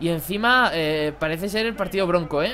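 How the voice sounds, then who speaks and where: This man talks at a fairly quick pace in a high-pitched voice. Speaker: gaming YouTuber. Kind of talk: gameplay commentary. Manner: animated; casual.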